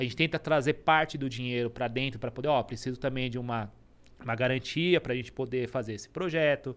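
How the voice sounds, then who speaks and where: Speaking very fast, a man holds a medium pitch with fairly even intonation. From Brazil, Suzano (São Paulo area); São Paulo, Brazil. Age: 30s. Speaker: entrepreneur; podcast guest. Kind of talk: interview. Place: studio. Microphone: studio mic.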